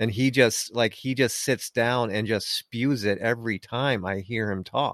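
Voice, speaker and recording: A man speaks at medium pitch in a normal speaking voice, with fairly even intonation and a fairly slow pace, and hardly any pauses. The sound is dry and close with no echo, on a very clean recording with a silent background. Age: middle-aged. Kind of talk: casual chat.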